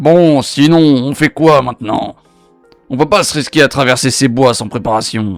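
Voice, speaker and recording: Faint music plays in the background as a man puts on a gruff character voice at medium pitch and a moderate pace. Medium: read story. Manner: gruff, swearing.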